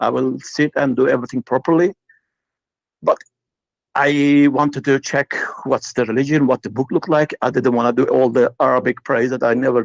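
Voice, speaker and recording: A man with a Turkish accent speaks at a fairly quick pace, broken by long, frequent pauses. The sound is dry and close, with no echo. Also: medium pitch for a man, fairly even intonation. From Turkey. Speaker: caller. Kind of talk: casual chat. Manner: halting.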